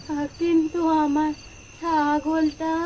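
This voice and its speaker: A female-sounding put-on character voice, high-pitched and monotone and flat, is heard over clear background noise. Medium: audio drama. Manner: plaintive.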